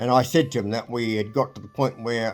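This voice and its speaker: With music in the background, a man speaks in a New Zealand accent with fairly even intonation. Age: 80s+. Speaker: retired marine engineer. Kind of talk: interview storytelling. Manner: halting.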